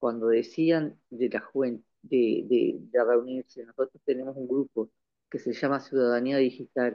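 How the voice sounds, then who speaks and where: A man with a medium-pitched voice talks at a very slow pace, with ordinary pitch variation. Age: 60s. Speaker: community participant. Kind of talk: audience comment. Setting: video call.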